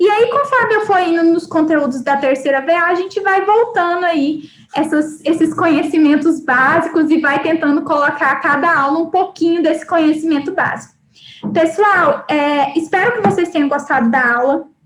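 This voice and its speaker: A woman's extremely high-pitched voice at a moderate pace, with very even loudness, ordinary pitch variation and audible room echo. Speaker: university lecturer. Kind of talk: live online lecture. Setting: live online class.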